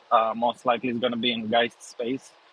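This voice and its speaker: The man speaks at a medium pitch. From Serbia, Belgrade. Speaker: photographer. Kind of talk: casual interview. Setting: online audio space. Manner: halting.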